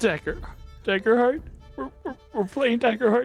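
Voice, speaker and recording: A female-sounding, shaky put-on character voice with fairly high pitch goes at a moderate pace, with music in the background. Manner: stammering, trembling.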